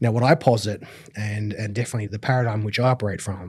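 Somewhat breathy speech comes from a man. Nothing else is heard, as the recording is very clean and the background silent. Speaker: business coach and filmmaker. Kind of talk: interview, explanatory talk.

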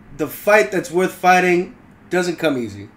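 A fairly slow pace sets the delivery. The voice belongs to a man. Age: 20s. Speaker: podcast co-host. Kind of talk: casual chat. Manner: hesitant, many fillers.

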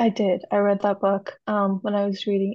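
A woman's somewhat breathy, dark, mellow voice at a medium pitch, with a dry, close sound and no echo. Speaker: software engineer. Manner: halting, careful.

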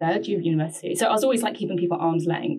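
Dark, mellow tone from a woman with a fairly low pitch. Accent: London. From London, England. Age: 20s. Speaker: journalist. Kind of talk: casual interview about personal mental health.

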